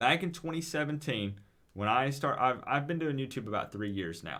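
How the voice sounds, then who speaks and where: In a very clean recording with a silent background, a man with a Southern US accent talks in a bright, sharp tone at a fairly high pitch, moderate pace and lively intonation. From US South, East Tennessee. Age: 20s. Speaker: gaming streamer. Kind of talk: live stream chat. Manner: animated.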